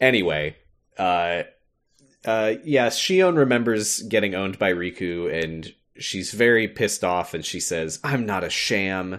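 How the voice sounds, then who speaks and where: Against a quiet background, a man talks in a normal speaking voice at a fairly low pitch, with ordinary pitch variation and a fairly slow pace. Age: 20s. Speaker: podcast co-host. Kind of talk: casual chat.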